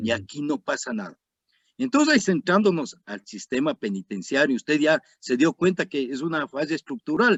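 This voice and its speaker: A man's fairly high voice with vocal fry and very wide pitch swings, at a moderate pace. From Ecuador. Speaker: retired army colonel, security analyst. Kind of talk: interview.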